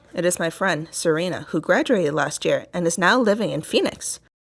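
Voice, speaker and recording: A woman with a fairly low pitch and an unremarkable speaking voice, at a moderate pace. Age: 20s. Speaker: podcaster reading a novel aloud. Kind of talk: reading aloud.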